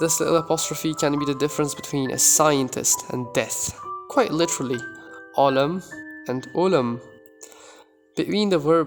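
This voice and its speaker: A man's fairly high-pitched voice with ordinary pitch variation, over music in the background. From Uzbekistan. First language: Uzbek. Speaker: language tutor. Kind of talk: language tutorial talk to camera.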